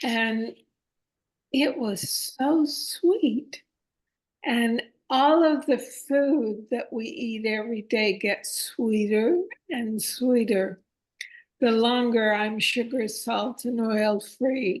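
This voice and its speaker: A woman talks at a very slow pace, her pitch high. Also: ordinary pitch variation. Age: 80s+. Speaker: interview guest on plant-based eating. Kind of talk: online group interview, personal story.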